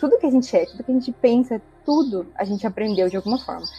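The speaker's intonation is lively. Music plays in the background. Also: woman. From interior of São Paulo state, Brazil. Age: 20s. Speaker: biologist, community member guest. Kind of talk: casual group conversation.

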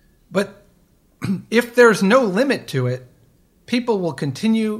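This man's voice is somewhat breathy, with an American accent. His pitch swings very widely. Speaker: podcast co-host. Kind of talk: casual chat. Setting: remote recording.

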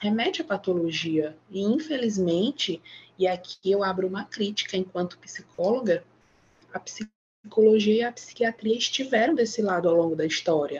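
A somewhat breathy woman's voice at medium pitch, with ordinary pitch variation and a fairly slow pace. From Maranhão, Brazil. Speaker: psychologist. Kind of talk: casual chat.

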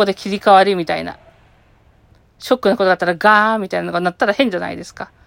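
Speaking at a very fast pace, a woman holds a medium pitch and fairly even intonation in a very clean recording with a silent background and a dry, close sound with no echo. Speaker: podcaster. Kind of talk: casual solo chat. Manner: stuttering.

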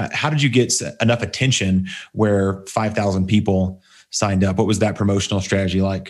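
In a normal speaking voice with an American accent, a man talks at a fairly low pitch, his loudness very even and his intonation fairly even, on a very clean recording with a silent background. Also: fairly quick pace. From Texas. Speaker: podcast host, online business coach. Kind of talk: interview podcast chat.

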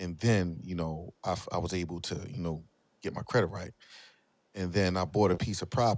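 With a very deep, low pitch and ordinary pitch variation, a man speaks at a fairly quick pace in a very clean recording with a silent background. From Philadelphia, US. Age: 40s. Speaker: finance podcaster and entrepreneur. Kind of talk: casual chat.

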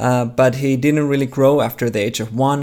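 On a very clean recording with a silent background, a man with a Finnish accent speaks in a monotone with flat intonation. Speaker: theology researcher. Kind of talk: interview. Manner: halting.

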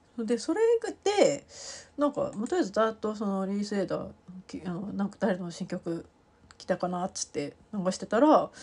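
Lively intonation marks the somewhat breathy speech, delivered at a moderate pace. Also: woman, medium pitch for a woman. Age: 40s. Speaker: podcast host. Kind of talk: casual chat. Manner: many fillers and hesitations.

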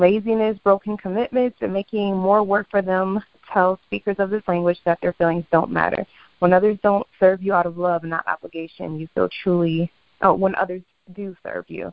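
A woman speaks in a plain, everyday voice, fairly low in pitch, with fairly even intonation. Her pace is fairly quick, with big swings in loudness. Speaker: podcast co-host. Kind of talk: casual chat.

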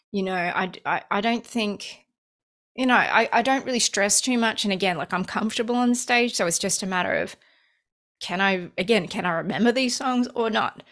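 An Australian-accented woman at a fairly high pitch, moderate pace and ordinary pitch variation, very clean recording on a silent background. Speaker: musician. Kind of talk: casual chat.

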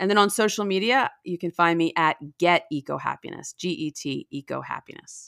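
A woman with an American accent and an ordinary speaking voice talks at a moderate pace with lively intonation at a fairly low pitch. The recording is very clean with a silent background and a dry, close sound with no echo. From New Jersey. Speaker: author and science journalist. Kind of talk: interview. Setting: podcast interview.

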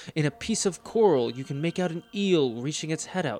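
The pitch swings very widely while music plays in the background. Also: man. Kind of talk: dramatic second-person fiction narration, scripted storytelling. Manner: hushed, suspenseful, slowly building tension with theatrical pauses.

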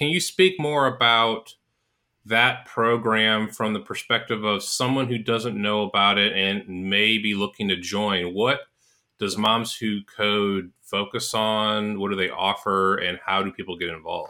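This man has a normal speaking voice, fairly low in pitch, talking at a fairly slow pace with fairly even intonation. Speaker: co-host and former bootcamp teacher. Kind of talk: casual interview.

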